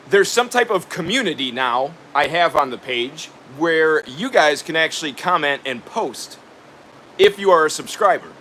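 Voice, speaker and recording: A man's high voice with lively intonation at a fairly slow pace, over noticeable background noise. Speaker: DIY builder and YouTuber. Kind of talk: live stream chat reading viewer comments. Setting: live stream from his workshop. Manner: casual, halting with fillers.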